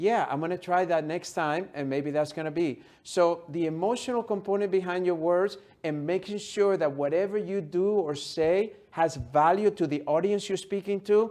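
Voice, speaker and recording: Over a quiet background, a speaker with a non-native accent talks at a moderate pace with ordinary pitch variation and hardly any pauses. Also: man, high pitch for a man. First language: not English. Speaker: motivational speaker and author. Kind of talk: interview.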